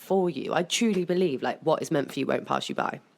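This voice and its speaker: A woman speaks with a strong West Country accent. Her pitch is fairly low, with ordinary variation. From England, South Somerset. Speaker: podcast guest, club co-founder. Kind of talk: casual chat. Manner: gets louder when passionate.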